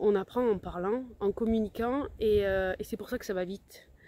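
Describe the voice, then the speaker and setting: Her dark, mellow tone carries as the woman speaks at a moderate pace. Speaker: language-learning coach. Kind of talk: casual vlog talk. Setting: outdoors on the beach. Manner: halting, many hesitations.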